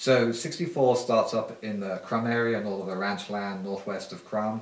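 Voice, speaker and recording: Over noticeable background noise and audible room echo, a man with a British accent talks at a moderate pace with fairly even intonation. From UK. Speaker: political candidate. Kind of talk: interview.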